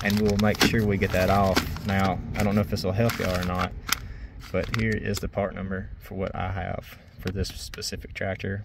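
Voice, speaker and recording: Loud background noise accompanies speech at a moderate pace, with a dry sound with no echo. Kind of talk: tutorial. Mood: relaxed, helpful. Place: farm machine. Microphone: phone near.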